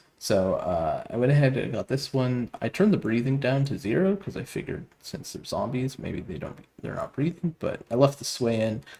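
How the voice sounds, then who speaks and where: A man talks with lively intonation and hardly any pauses over noticeable background noise. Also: moderate pace. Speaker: game development tutorial youtuber. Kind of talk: tutorial. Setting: new studio apartment with echo. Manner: many filler words and hesitations. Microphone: low mic quality, echo in new room.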